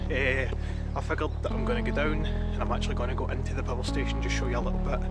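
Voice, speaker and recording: A man talking at a very fast pace over loud music in the background. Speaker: vlogger. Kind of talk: casual vlog chat. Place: open country. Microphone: phone near.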